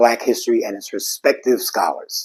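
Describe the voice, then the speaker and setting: In a New York accent, the speaker goes at a fairly quick pace. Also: man. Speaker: history educator and video host. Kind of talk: scripted presentation. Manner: formal.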